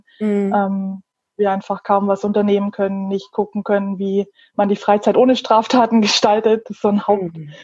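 A woman speaks at a medium pitch and a moderate pace. Her voice is somewhat breathy, with monotone, flat intonation. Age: 30s. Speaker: photographer, small shop owner. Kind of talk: casual interview. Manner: hesitant, many fillers.

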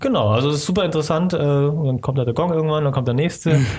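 This man's voice sits fairly high in pitch and sounds somewhat breathy, with ordinary pitch variation. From Germany, Stuttgart area (Swabia), Vietnamese family. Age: 30s. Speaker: filmmaker. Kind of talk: casual interview.

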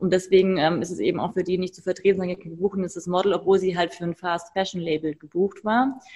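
Very fast and fairly even in intonation, a woman talks in a dark, mellow tone. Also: medium pitch for a woman, hardly any pauses. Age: 30s. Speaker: fashion photographer and model agency founder. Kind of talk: podcast interview.

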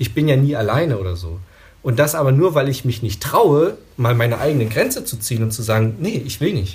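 Delivered at a fairly quick pace, an ordinary speaking voice moves with lively intonation. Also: man, medium pitch for a man. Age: 30s. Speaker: media psychologist. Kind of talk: casual chat.

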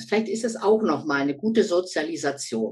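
Very wide pitch swings at a moderate pace. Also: woman. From Lower Saxony, Germany. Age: 60s. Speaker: former football referee and coach. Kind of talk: interview.

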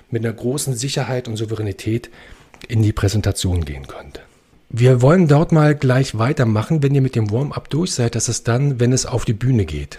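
Medium in pitch, a man's voice carries ordinary pitch variation. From Berlin. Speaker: actor and presentation coach. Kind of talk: interview, explaining presentation techniques. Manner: fast.

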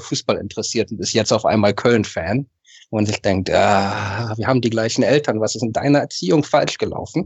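A man speaks in a plain, everyday voice at a medium pitch, his intonation fairly even. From Berlin, Germany (Westend, Charlottenburg). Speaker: football fan. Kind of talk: casual chat. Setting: video call.

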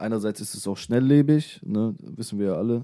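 A man talks at a fairly quick pace with a dark, mellow tone. His medium-pitched voice shows ordinary pitch variation. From Hannover area, northern Germany. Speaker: musician and videographer. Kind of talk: casual radio interview. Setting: radio studio.

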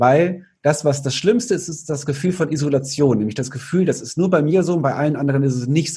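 A man at fairly high pitch, dark, mellow and somewhat breathy, fairly quick with hardly any pauses, ordinary pitch variation, and a quiet background. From Cologne, Germany. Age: 30s. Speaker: nutrition speaker and author. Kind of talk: interview.

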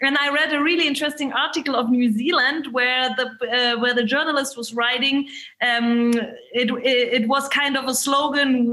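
Speaking with a German accent, a woman uses a raised, projected voice at a high pitch and a moderate pace. Her pitch varies in an ordinary way, and audible room echo surrounds her. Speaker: state politician. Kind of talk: webinar discussion. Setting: video call.

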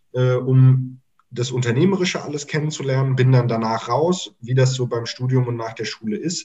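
The voice belongs to a man and sits at medium pitch. It has a somewhat breathy quality. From Germany (near Mainz) and Mozambique. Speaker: startup consultant. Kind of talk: casual interview chat.

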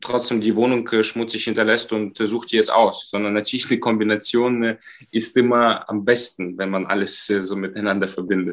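His pitch sits at a medium level. The man's intonation is monotone and flat. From Moldova. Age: 20s. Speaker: professional dancer and dentist. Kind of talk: interview.

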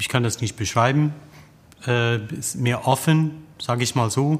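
With an English accent, a man at a medium pitch speaks very slowly, keeping his intonation fairly even. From USA, tobacco-farming family. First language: English (speaking German). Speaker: opera tenor. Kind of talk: interview. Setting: opera house foyer.

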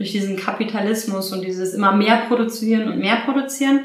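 Amid noticeable background noise and audible room echo, a woman speaks at a fairly quick pace with medium pitch and ordinary pitch variation. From Berlin, Germany. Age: 30s. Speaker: event manager. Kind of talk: interview.

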